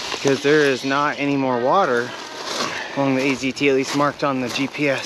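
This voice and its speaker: A man's fairly high voice stays monotone and flat at a moderate pace, with noticeable background noise behind it. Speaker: bikepacking vlogger. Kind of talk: casual vlog talk to camera. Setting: outdoors.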